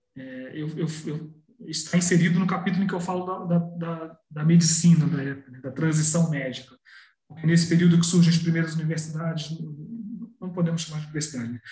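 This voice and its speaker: Amid audible room echo, a man speaks fairly quickly in a high pitch, with fairly even intonation and big swings in loudness. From Brazil, Petrópolis (Rio de Janeiro state). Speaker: journalist and historian. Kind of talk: interview. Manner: halting, with frequent repetitions.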